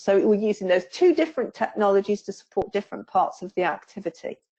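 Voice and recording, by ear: Speaking fairly quickly in a Staffordshire accent, a woman has a dark, mellow tone, a medium pitch and ordinary pitch variation.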